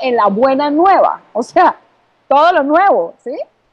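With very wide swings in pitch, a woman's speech unfolds at a fairly slow pace. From Colombia (Bogotá). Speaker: author and communication coach. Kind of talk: interview.

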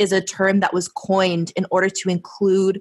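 A woman speaks at a medium pitch and a moderate pace in a normal speaking voice. The sound is dry and close, with no echo. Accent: American. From San Diego, US. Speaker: podcast host. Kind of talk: casual chat.

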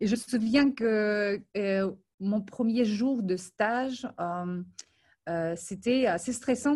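Against a quiet background, a somewhat breathy woman speaks at a fairly high pitch with ordinary pitch variation. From Ukraine and Moldova. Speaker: film industry professional. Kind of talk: interview.

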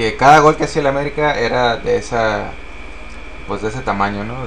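A man speaks at a fairly quick pace in a medium pitch with ordinary pitch variation, leaving long, frequent pauses, over noticeable background noise and audible room echo. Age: 30s. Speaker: football podcast co-host. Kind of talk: casual chat. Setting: live stream.

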